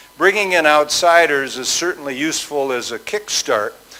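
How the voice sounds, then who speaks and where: A man's voice at a moderate pace, with ordinary pitch variation and noticeable background noise. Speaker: business school president. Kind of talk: conference talk. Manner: hesitant with fillers.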